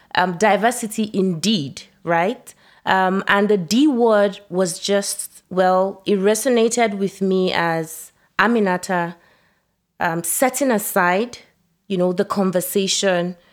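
A woman speaks at a fairly slow pace with a medium pitch and ordinary pitch variation, in an unremarkable speaking voice. The recording is very clean, with a silent background. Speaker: guest discussing book chapter. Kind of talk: casual conversation.

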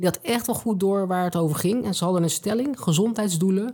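On a very clean recording with a silent background, a woman speaks fairly quickly at medium pitch, somewhat breathy, with lively intonation.

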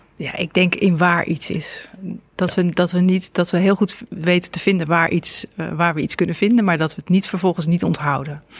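A woman's fairly low voice with fairly even intonation at a moderate pace, over noticeable background noise. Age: 50s. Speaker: podcast host and journalist. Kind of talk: interview conversation. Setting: cafe recording.

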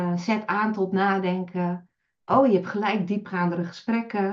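A woman speaks at a very slow pace and a medium pitch. Her intonation is monotone and flat. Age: 50s. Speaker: virtual assistant. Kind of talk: interview.

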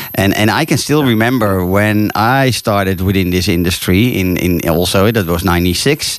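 At a moderate pace with hardly any pauses, the speaker uses a Dutch accent, very even loudness and ordinary pitch variation. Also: man, fairly low pitch for a man. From Netherlands. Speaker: radio host and safari tour operator. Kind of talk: radio interview. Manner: halting.

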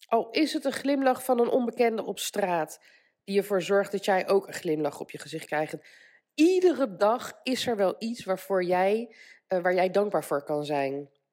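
At a moderate pace, a woman speaks in an unremarkable speaking voice with a medium pitch and lively intonation. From Netherlands. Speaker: life coach and podcaster. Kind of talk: solo motivational podcast monologue. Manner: casual with frequent fillers.

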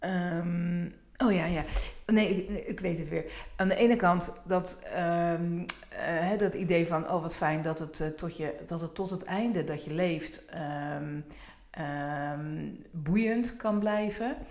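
At a very slow pace and with long, frequent pauses, a woman speaks at a fairly low pitch. Audible room echo surrounds her voice. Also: ordinary pitch variation. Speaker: podcast host. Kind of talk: casual chat.

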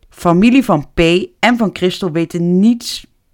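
A woman speaks at a fairly slow pace in a fairly low pitch. The recording is very clean, with a silent background. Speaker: true crime podcaster. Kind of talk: true crime storytelling. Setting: home office.

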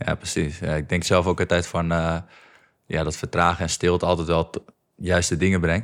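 A man speaks at a moderate pace in a very deep, low voice with flat, monotone intonation, recorded very cleanly over a silent background. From North Holland, Netherlands (Egmond). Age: 20s. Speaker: podcast host. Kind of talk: interview conversation.

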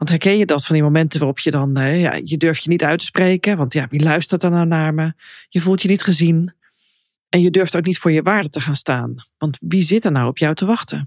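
At a fairly quick pace, a woman with a very deep, low pitch speaks with ordinary pitch variation on a very clean recording with a silent background. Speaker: personal coach and podcast host. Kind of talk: solo podcast monologue.

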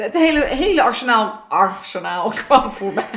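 An ordinary speaking voice at a moderate pace, with lively intonation. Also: woman. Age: 30s. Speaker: podcast co-host. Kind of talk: casual chat.

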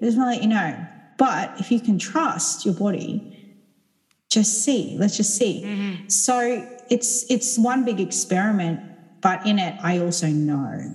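A woman's medium-pitched voice, an ordinary speaking voice, at a fairly slow pace with ordinary pitch variation. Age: 30s. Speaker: sound healer. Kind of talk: casual chat.

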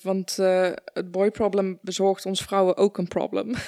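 At a fairly slow pace, a woman of medium pitch speaks in a dark, mellow tone, the sound dry and close with no echo. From Netherlands (born in Afghanistan). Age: 30s. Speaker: podcast host. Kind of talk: interview conversation.

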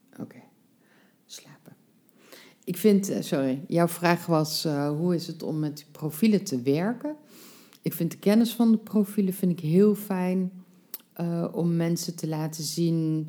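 A woman talks at a fairly slow pace with a fairly low pitch. Her pitch variation is ordinary, and she leaves long, frequent pauses. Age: 50s. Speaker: life coach. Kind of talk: casual interview.

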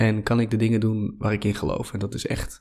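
Monotone, flat delivery in a dark, mellow tone on a very clean recording with a silent background. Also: man. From Netherlands, Drenthe. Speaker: passion coach. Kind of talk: interview. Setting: studio.

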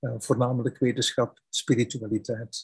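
A man with a Flemish accent talks at a moderate pace and medium pitch, sounding somewhat breathy. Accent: Flemish Dutch. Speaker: founder of a spirituality website, interviewer. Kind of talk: interview. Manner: halting.

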